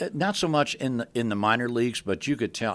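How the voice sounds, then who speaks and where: With a normal speaking voice and ordinary pitch variation, a man talks at a fairly quick pace. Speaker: public address announcer. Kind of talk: interview answer.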